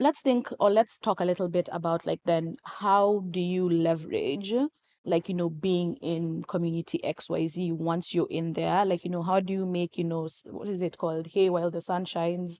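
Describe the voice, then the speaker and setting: A woman with a non-native accent speaks at a moderate pace with hardly any pauses, her pitch fairly low, her tone dark and mellow and her intonation fairly even, in a dry, close sound with no echo over a quiet background. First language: not English. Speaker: podcast co-host. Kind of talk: casual podcast conversation.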